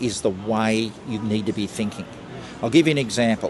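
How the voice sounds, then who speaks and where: With an Australian accent, a man speaks at a moderate pace over noticeable background noise. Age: 70s. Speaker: entrepreneur. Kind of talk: street interview. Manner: hesitant, with fillers and repeats.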